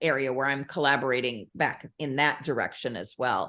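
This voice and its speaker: The speaker is a woman at a moderate pace. The background is quiet. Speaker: children's book author. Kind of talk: casual chat. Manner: halting, self-correcting.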